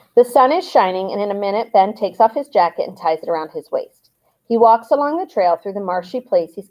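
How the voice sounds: A natural reading voice is heard. Behind it, the background is quiet.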